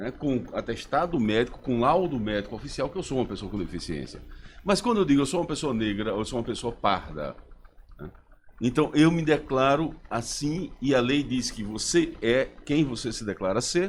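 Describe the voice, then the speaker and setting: Using vocal fry, a man talks at a medium pitch and moderate pace with lively intonation. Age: 60s. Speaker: professor, human rights advocate. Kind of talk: radio interview.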